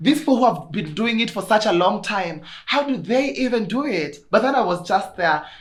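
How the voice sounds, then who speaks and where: With a Kenyan accent, a woman talks in an animated tone at a moderate pace, with ordinary pitch variation, audible room echo and noticeable background noise. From Kenya, Kirinyaga. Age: 20s. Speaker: podcaster. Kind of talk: casual chat.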